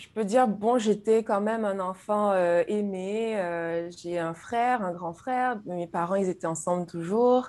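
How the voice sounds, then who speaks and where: A woman with a medium-pitched voice talks at a fairly slow pace, using ordinary pitch variation and hardly any pauses, while her loudness swings widely, all on a very clean recording with a silent background. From Guadeloupe, French Antilles. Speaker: YouTube creator, spiritual guest. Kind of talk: personal testimony in interview. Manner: hesitant, repeats words.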